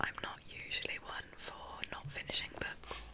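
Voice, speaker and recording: Against noticeable background noise, the whispering unfolds at a fairly slow pace. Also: woman. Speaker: ASMR creator. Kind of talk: ASMR book chat, whispered. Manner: soft-spoken, slow, whispering.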